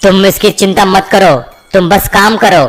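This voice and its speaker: This is a cartoonish character voice. It moves at a moderate pace. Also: man, high pitch for a man. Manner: bossy.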